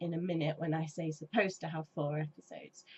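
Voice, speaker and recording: Talking at a fairly quick pace, a woman with an English accent has a fairly low pitch and a somewhat breathy voice. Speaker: gaming YouTuber. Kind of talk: casual chat. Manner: hesitant, many ums.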